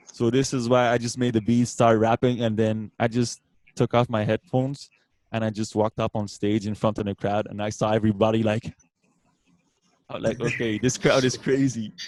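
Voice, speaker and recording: Dry and close with no echo, a man's medium-pitched voice moves at a fairly quick pace in a monotone, flat delivery with a slight French accent. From France, Brittany. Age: 30s. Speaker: beatboxer. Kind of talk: casual interview.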